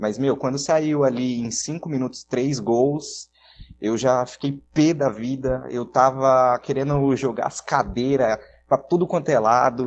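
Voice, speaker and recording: Very slow, fairly even male speech at a medium pitch. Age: 20s. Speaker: radio broadcaster. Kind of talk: casual chat.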